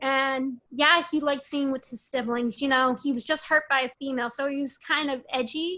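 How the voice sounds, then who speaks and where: A woman's raised, projected voice, high in pitch, with a bright, sharp tone, fairly even intonation and an American accent. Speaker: parent sharing custody case experience. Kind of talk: interview testimony.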